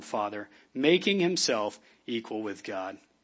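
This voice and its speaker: This man's voice has a warm tone and swings very widely in pitch. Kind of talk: sermon. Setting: church. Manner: casual, warm, humorous.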